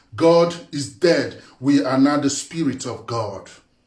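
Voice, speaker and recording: The voice is animated and somewhat breathy. Room echo can be heard. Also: man. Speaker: spiritual teacher. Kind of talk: monologue talk. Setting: live video.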